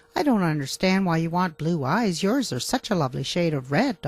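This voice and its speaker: Someone does a put-on character voice at a middle pitch and a fairly quick pace. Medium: read story.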